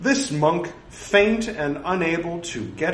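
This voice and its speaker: Against noticeable background noise, a man talks at a very slow pace in a high pitch. His pitch swings very widely. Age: 40s. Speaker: podcaster reciting Buddhist scripture. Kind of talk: reading aloud. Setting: home recording, no studio.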